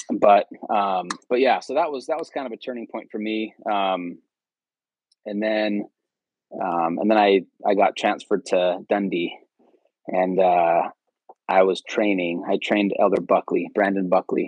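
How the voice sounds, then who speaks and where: In a West Coast accent, a man speaks at a fairly slow pace with long, frequent pauses, a fairly low pitch and ordinary pitch variation. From California, Bay Area. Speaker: former missionary. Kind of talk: casual interview. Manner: hesitant, many fillers.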